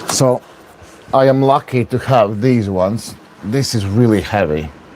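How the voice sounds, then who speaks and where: Over noticeable background noise, a man with a Latvian accent speaks at a fairly slow pace with ordinary pitch variation. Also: medium pitch for a man. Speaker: arm wrestler streaming his training. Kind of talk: livestream training commentary. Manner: casual, hesitant with fillers.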